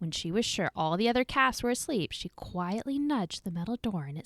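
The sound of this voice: The intonation moves in a lively way. Someone reads aloud without forcing the voice.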